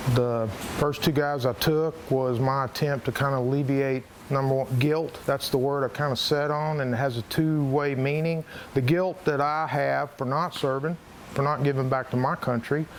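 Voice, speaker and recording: A man with a normal speaking voice talks at a moderate pace, his pitch fairly high. His intonation is fairly even and his loudness very even. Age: 60s. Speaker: hunting show host. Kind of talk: interview.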